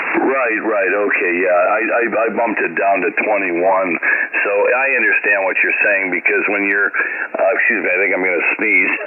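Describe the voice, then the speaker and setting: A man keeps his loudness very even at a moderate pace, with noticeable background noise behind him. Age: 50s. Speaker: ham radio operator. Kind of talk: ham radio on-air chat. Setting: amateur radio transmission. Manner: halting, many fillers and repeats.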